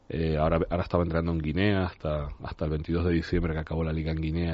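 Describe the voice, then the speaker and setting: Speaking at a very fast pace, a man with a very deep, low pitch delivers his words in a monotone, flat intonation. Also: hardly any pauses. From Tenerife, Canary Islands. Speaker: basketball coach. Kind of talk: radio interview. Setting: studio.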